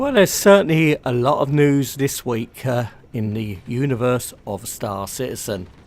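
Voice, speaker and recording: A man with a British accent speaks with lively intonation. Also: medium pitch for a man, moderate pace. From UK. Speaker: gaming YouTuber. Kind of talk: gaming news commentary.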